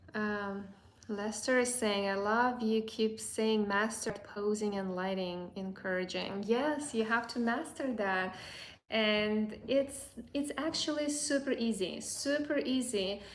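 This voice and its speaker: Speaking at a very slow pace with a fairly high pitch, a woman is heard with audible room echo. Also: ordinary pitch variation. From Azerbaijan. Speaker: boudoir photographer and educator. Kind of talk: live stream Q&A. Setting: live stream. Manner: halting, many fillers and repeats.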